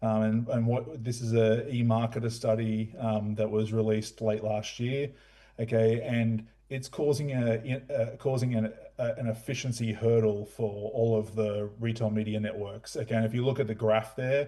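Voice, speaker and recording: This man has an Australian accent and a medium pitch, with a dark, mellow tone. He speaks at a moderate pace with monotone, flat intonation. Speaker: retail media executive. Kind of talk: conference presentation. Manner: hesitant, many fillers.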